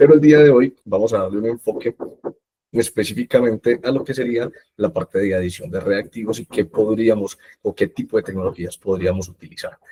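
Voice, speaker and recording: A man's medium-pitched, somewhat breathy voice with a dark, mellow tone, ordinary pitch variation, and a fairly quick pace, the sound dry and close with no echo. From Colombia. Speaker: product manager presenting at a webinar. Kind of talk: technical webinar presentation. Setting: online webinar. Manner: hesitant fillers (eh, digamos).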